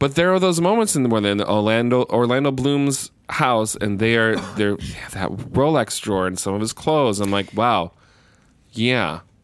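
With a normal speaking voice, a man talks at a moderate pace and medium pitch, his intonation lively. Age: 40s. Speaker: podcast co-host, military member. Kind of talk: casual chat.

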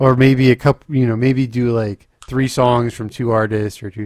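His is a plain, everyday voice at a medium pitch. The man's pitch varies in an ordinary way. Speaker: podcast host; streamer. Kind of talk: casual.

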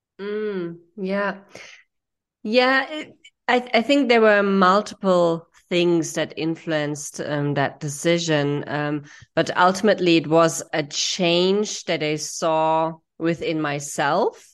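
A woman with a fairly low pitch speaks at a very slow pace with ordinary pitch variation. The background is quiet. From Germany. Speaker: sex education entrepreneur. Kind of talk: interview.

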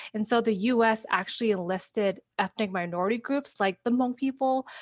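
In a plain, everyday voice, a woman with an American accent and a fairly high pitch uses fairly even intonation, recorded very cleanly over a silent background with a dry, close sound and no echo. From US Midwest, Wisconsin. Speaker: educator and community organizer. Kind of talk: casual interview.

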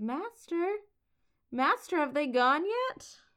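In a put-on character voice, a woman takes on a timid tone, speaking at a high pitch with very wide pitch swings and a fairly slow pace. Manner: timid, hesitant.

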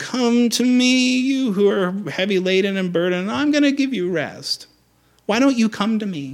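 This is a put-on character voice with a whiny tone and fairly high pitch. The delivery is whiny and moves at a moderate pace.

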